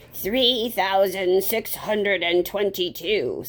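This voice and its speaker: Against light background noise, a woman uses a put-on character voice at a medium pitch and a fairly slow pace. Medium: read story. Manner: cold, curt, disdainful.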